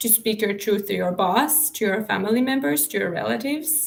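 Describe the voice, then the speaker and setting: A woman's fairly high voice comes across as somewhat breathy. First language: not English. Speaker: spiritual coach and author. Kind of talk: live stream talk. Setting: live stream. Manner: halting.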